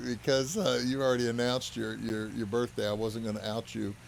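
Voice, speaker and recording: At a moderate pace, a plain, everyday voice talks with fairly even intonation. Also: man. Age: 50s. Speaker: podcast host. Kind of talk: casual chat.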